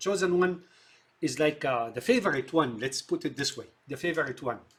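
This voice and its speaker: A man with an Arabic accent speaks at a moderate pace, his fairly high voice moving with lively intonation. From Syria. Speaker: film commentator. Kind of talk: monologue commentary. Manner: halting, many fillers.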